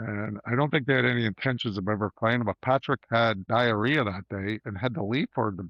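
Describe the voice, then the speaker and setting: A man with a plain, everyday voice speaks at a fairly quick pace with hardly any pauses. His pitch is medium, with ordinary variation. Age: 60s. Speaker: former junior hockey player, roofing business owner. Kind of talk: casual interview chat.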